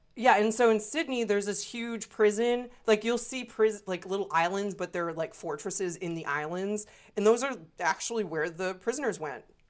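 An unremarkable speaking voice belongs to this woman, who talks at a moderate pace with a medium pitch and lively intonation. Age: 30s. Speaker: podcast co-host. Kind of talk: casual chat.

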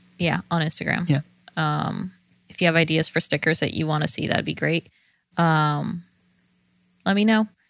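A woman with an American accent speaks at a moderate pace and a fairly low pitch, with fairly even intonation and long, frequent pauses, in a very clean recording with a silent background. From California, San Joaquin Valley. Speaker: podcast co-host. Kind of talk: casual chat.

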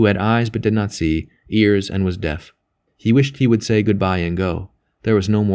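Someone is reading aloud in a natural voice over a quiet background.

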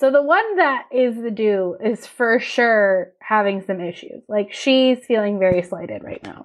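At a fairly slow pace and with hardly any pauses, a woman speaks fairly high with ordinary pitch variation and big swings in loudness. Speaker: podcast co-host. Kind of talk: casual chat. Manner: animated.

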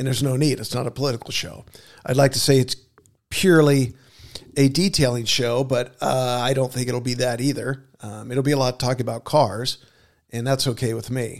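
Speaking at a fairly quick pace, a man keeps his medium pitch on fairly even intonation. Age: 50s. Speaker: podcast host and auto detailing business owner. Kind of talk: casual solo podcast monologue. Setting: in his shop, with his dog under the table. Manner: hesitant, many filler words.

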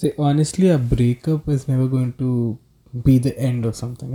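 With a Telugu accent, a man speaks at a medium pitch in a somewhat breathy voice with a dark, mellow tone. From South India. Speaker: podcast guest. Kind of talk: casual chat.

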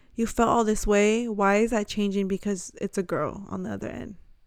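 In an unremarkable speaking voice, a woman talks at a moderate pace and medium pitch with fairly even intonation, on a very clean recording with a silent background. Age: 20s. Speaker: podcast co-host sharing coming-out story. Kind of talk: casual chat and personal testimony. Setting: recording at home on a bed.

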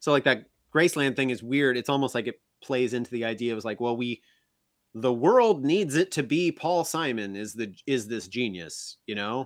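This man has an American accent and a medium pitch. He talks at a moderate pace with lively intonation, in a dry, close sound with no echo. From US Midwest, small-town Illinois. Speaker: author and improv comedian. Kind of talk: casual chat.

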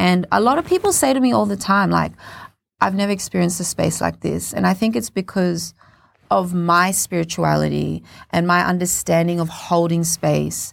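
A woman with an Australian accent speaks at a moderate pace. The recording is very clean, with a silent background. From Australia, Cairns (Queensland). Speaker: spoken word poet and performer. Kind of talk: interview. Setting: studio.

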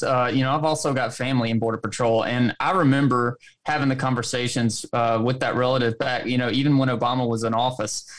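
A man with a Southern US accent, medium pitch and a fairly quick pace. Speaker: co-host. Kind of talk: casual livestream chat. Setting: live stream online.

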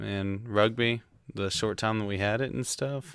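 Speaking with a Southern US accent, a man keeps his intonation fairly even at a fairly low pitch. The recording is very clean, with a silent background. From Tennessee, US South. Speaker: host's boyfriend. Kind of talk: casual chat.

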